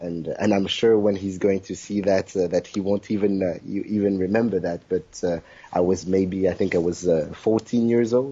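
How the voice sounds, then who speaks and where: Speaking with a French accent, a man keeps a fairly low pitch and fairly even intonation at a moderate pace with hardly any pauses. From South Africa (born in Congo). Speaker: kizomba dancer. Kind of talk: interview. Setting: video interview. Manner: halting, many fillers.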